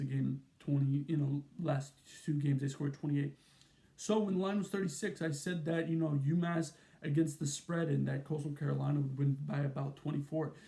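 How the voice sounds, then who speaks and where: Somewhat breathy and fairly high-pitched, a man talks at a fairly quick pace with fairly even intonation. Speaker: college football YouTuber. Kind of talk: sports analysis monologue. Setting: at his mom's home. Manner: fast; casual, filler-heavy.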